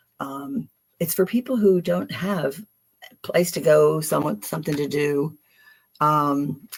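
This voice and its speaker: A woman with a Philadelphia accent speaks at a very slow pace. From Philadelphia, US. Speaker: tarot reader. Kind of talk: live stream card reading. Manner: casual, hesitant with fillers.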